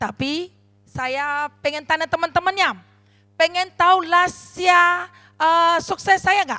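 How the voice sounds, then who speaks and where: A woman's voice is raised and projected, with an extremely high pitch and a bright, sharp tone. Her pitch varies in an ordinary way. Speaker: network marketing leader. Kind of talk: motivational speech. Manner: animated.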